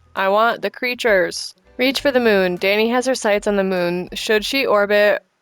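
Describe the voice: The delivery is plain reading aloud. Its pitch varies in an ordinary way.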